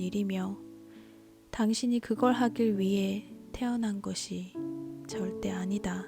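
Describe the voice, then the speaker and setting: A woman's medium-pitched voice at a very slow pace, with music in the background. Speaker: audiobook narrator. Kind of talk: audiobook reading of a self-help book. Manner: soft-spoken, slow.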